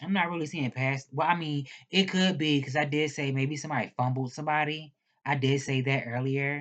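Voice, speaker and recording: The woman's delivery moves at a moderate pace. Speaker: tarot reader. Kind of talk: tarot reading. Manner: stuttering; slurring.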